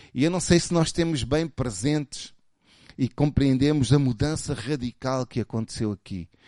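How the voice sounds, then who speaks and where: With a European Portuguese accent, a man speaks in an animated tone, the sound dry and close with no echo over a quiet background. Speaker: pastor. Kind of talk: sermon. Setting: church.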